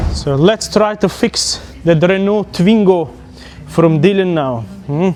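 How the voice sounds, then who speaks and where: Over noticeable background noise, a man with a non-native accent talks at a very slow pace and a high pitch, with ordinary pitch variation. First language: not English. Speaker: mechanic. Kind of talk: casual tutorial.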